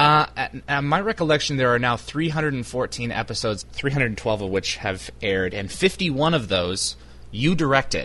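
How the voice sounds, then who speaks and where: Lively intonation lifts this man's medium-pitched voice, which carries vocal fry. He talks at a fairly slow pace. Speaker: interviewer for fan website. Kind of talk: casual phone interview.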